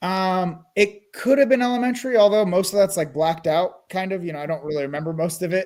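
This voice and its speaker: A man with a Californian accent talks at a very fast pace in a high voice, with ordinary pitch variation and hardly any pauses. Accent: General American (Californian). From California, US. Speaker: interview guest. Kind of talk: casual interview chat.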